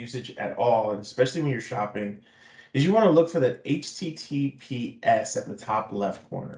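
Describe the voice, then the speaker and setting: A somewhat breathy man with a fairly high pitch and lively intonation. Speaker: IT security consultant. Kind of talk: webinar presentation.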